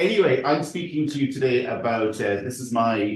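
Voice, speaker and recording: A somewhat breathy man speaks in an Irish accent with lively intonation. Audible room echo surrounds his voice. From Ireland. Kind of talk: seminar presentation. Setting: university seminar room with audience.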